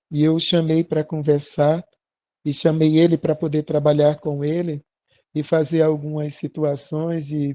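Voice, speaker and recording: Monotone, flat delivery at a fairly slow pace. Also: man. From Brazil, Pernambuco (Arcoverde). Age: 60s. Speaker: pastor. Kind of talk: sermon.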